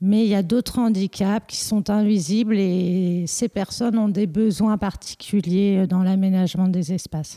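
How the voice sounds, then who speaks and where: The voice has a dark, mellow tone and fairly even intonation, recorded dry and close with no echo and a very clean, silent background. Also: woman. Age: 40s. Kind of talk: interview. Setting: at her home. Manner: halting.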